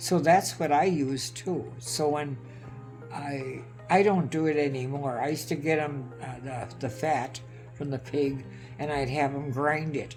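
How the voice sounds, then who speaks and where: With music playing behind her, a woman speaks at a fairly slow pace. Her pitch is very deep and low, and her intonation stays fairly even. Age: 80s+. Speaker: homesteader. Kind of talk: interview answer.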